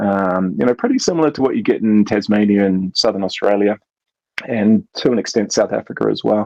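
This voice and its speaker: Moving at a fairly quick pace, a man speaks in a New Zealand accent. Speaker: brewery co-founder. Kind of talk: casual chat.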